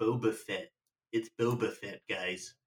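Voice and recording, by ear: Putting on a nasal character voice with an American accent, a man speaks at a fairly slow pace.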